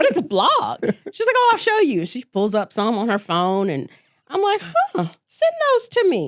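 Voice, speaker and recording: A woman speaks in a Southern US accent with an animated tone. Her pace is moderate. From US South, coastal Mississippi. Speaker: interior designer. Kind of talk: casual interview chat.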